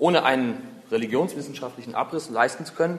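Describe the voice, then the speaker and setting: An unremarkable speaking voice comes from a man with a fairly high pitch. He talks at a fairly quick pace with lively intonation. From Berlin, Germany. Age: 20s. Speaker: humanist foundation spokesman and podcast host. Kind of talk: prepared lecture.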